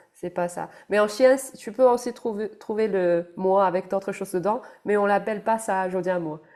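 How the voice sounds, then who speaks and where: A woman with a medium-pitched voice talks fairly slowly, keeping her intonation fairly even. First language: Chinese (speaking French). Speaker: animation art director. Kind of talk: casual chat. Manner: halting.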